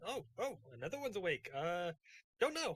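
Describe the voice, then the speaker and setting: Using a put-on character voice, a man speaks at a high pitch with very wide pitch swings. His pace is moderate. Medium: actual play. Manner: light, casual.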